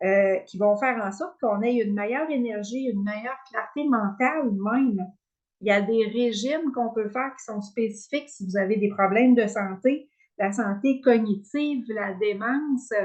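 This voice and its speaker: With a Quebec accent, a woman speaks at a moderate pace in a fairly high pitch, showing ordinary pitch variation and big swings in loudness. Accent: Québécois French. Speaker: wellness coach. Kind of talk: online workshop presentation. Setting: video call with screen share. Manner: hesitant, many fillers.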